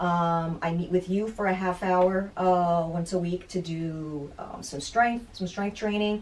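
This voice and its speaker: At a fairly slow pace, a woman of medium pitch speaks in an ordinary speaking voice with fairly even intonation. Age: 50s. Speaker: fitness client, piano teacher and yoga instructor. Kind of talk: casual interview.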